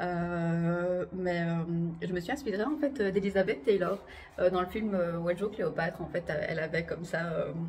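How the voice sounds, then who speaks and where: A woman speaks with a fairly low pitch and a somewhat breathy quality. Her pitch varies in an ordinary way. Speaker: belly dancer and vlogger. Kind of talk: casual vlog to camera. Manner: fast; hesitant, many fillers.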